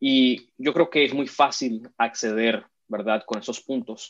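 A man's voice at a medium pitch. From Venezuela, Caracas; raised in Miami. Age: 30s. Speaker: immigrant rights activist. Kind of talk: interview. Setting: video call. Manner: hesitant, many fillers.

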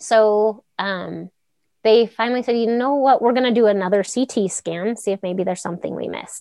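This is an ordinary speaking voice, moving at a moderate pace with fairly even intonation. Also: woman, fairly high pitch for a woman. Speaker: rancher and runner with Crohn's. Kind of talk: personal testimony in casual interview. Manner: conversational with frequent fillers and laughter.

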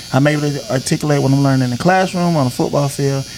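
With a Southern US accent, a man speaks at a fairly high pitch with ordinary pitch variation over noticeable background noise. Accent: Southern US (Georgia). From Griffin, Georgia (US South). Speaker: former NFL player and barber. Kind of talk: interview conversation. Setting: barbershop.

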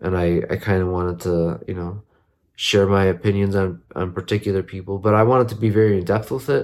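At a fairly quick pace and with fairly even intonation, the speech is captured in a very clean recording with a silent background. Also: man, very deep, low pitch for a man. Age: 30s. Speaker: podcast host and content creator. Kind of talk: casual monologue. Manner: rambling, halting.

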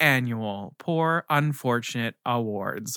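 A man with an American accent, a bright, sharp tone and lively intonation at a very slow pace, in a very clean recording with a silent background and a dry, close sound with no echo. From Maryland, near Baltimore. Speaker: podcast co-host. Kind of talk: casual chat.

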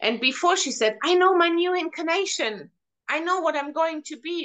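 A woman at a moderate pace, with a German accent. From Germany. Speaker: hypnotherapist. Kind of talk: casual interview chat. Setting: video call.

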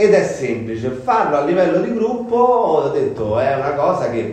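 A man speaks with a Roman accent. Noticeable background noise and audible room echo surround him. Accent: Roman Italian. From Rome, Italy. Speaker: content creator and actor. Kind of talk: casual interview chat. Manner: halting, many fillers.

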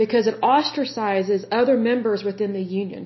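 A somewhat breathy, fairly high-pitched woman's voice in an American accent, at a moderate pace with ordinary pitch variation. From Oklahoma. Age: 30s. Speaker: podcast host. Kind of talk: solo commentary reading from sources.

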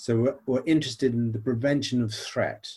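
The speaker has an American accent and a somewhat breathy voice. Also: man. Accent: British English with slight American twang. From Nigeria. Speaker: psychology professor. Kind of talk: interview.

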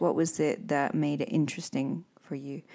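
Speaking in a Scottish accent, a woman has a dark, mellow tone. The recording is very clean, with a silent background. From Scotland. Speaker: English teacher and podcast host. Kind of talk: casual interview.

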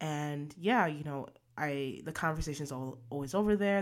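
This woman's voice shows ordinary pitch variation. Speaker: podcast host. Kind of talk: casual chat. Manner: chipper, upbeat.

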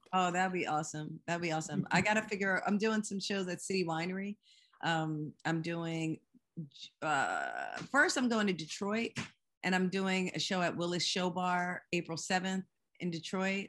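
An unremarkable speaking voice from a woman at medium pitch, with an American accent, fairly even intonation and moderate pace, over a quiet background. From US Northeast, Philadelphia suburbs (Lower Merion). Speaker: singer-songwriter. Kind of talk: casual interview. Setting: video call.

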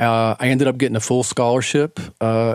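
Flat, monotone speech from a man at medium pitch and moderate pace, on a very clean recording with a silent background. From Tennessee (Knoxville). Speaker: professional bass player. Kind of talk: casual interview.

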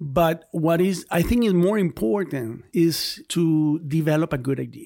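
Recorded very cleanly against a silent background, a man with a fairly high pitch and ordinary pitch variation has an unremarkable speaking voice. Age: 40s. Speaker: artist, filmmaker and professor. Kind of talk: casual interview.

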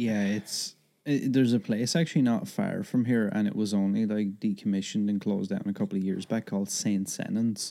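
Speaking with an Irish accent, a man talks at a fairly quick pace. His fairly low voice has a dark, mellow tone. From Ireland. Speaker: podcast guest. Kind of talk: reading aloud; casual chat.

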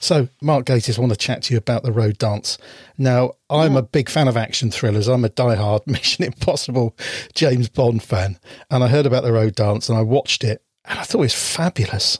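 Somewhat breathy and fairly quick, a man speaks at a medium pitch with very even loudness and ordinary pitch variation, in a dry, close sound with no echo on a very clean recording with a silent background. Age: 50s. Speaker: podcast host. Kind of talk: interview. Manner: animated.

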